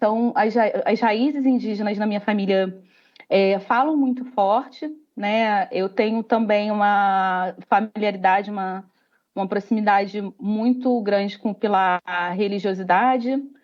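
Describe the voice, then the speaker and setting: This woman talks at a fairly slow pace. Her medium-pitched voice keeps a fairly even intonation. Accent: Rio de Janeiro. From Rio de Janeiro, Brazil. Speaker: company employee, diversity group member. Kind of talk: panel discussion.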